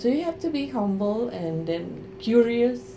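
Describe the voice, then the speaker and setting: A woman speaks with a Spanish accent over noticeable background noise. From Mexico. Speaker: Spanish professor. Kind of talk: interview. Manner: halting.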